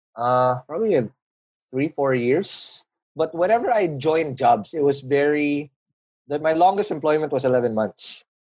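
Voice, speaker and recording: A man speaks with a Filipino accent at a moderate pace. He leaves long, frequent pauses, and his pitch variation is ordinary. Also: fairly high pitch for a man, dry, close sound with no echo. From Philippines, Manila. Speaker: podcast founder and business guest. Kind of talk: casual interview chat about business.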